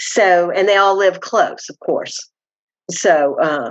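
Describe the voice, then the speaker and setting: With an American accent, a woman speaks at a very slow pace and very even loudness. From US South. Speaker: theosophical society leader. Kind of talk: Q&A discussion after a talk. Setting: video call. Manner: halting.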